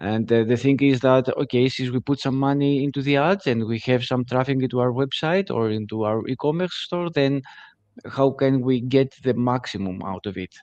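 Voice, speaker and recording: A man with a Greek accent at medium pitch, ordinary pitch variation and a moderate pace. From Greece. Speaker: digital agency CEO. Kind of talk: webinar interview. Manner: halting, many fillers.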